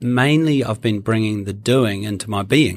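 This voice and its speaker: In a plain, everyday voice, a man speaks at a moderate pace with a fairly low pitch and ordinary pitch variation, captured in a very clean recording with a silent background. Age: 40s. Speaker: podcast co-host. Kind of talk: casual chat.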